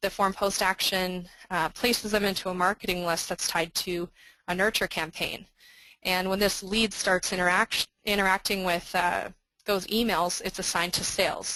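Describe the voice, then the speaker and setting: A woman's bright, sharp, flat monotone against a quiet background. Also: medium pitch for a woman. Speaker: software marketing presenter. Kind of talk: webinar product demo. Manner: fast.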